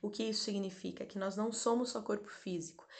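Pitched in the medium range, a woman with an unremarkable speaking voice talks with ordinary pitch variation. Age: 30s. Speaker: doula and therapist. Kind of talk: spiritual talk and guided meditation. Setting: live stream. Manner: slow, calm.

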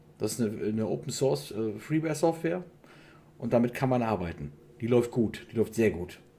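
Dark and mellow in tone, the voice has vocal fry, very wide pitch swings and a fairly quick pace. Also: man, medium pitch for a man. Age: 40s. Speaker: hobby laser maker, media designer. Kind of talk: casual interview chat.

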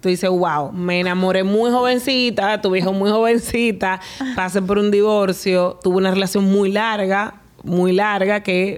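An ordinary speaking voice from a woman, medium in pitch, with fairly even intonation and a moderate pace. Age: 30s. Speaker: podcast host. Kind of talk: casual interview.

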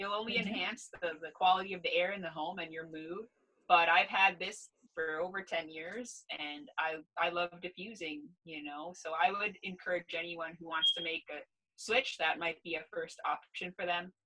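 With a Canadian accent and an ordinary speaking voice, a woman speaks at a moderate pace and fairly low pitch, her intonation fairly even but her loudness swinging widely. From Canada, Ontario. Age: 30s. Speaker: gerontologist. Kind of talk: casual interview.

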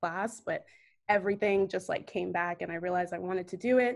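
Using a plain, everyday voice, a woman with an American accent talks at a fairly quick pace in a medium pitch with ordinary pitch variation. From US, Northern Virginia (DC area). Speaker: journalist. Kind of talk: casual interview.

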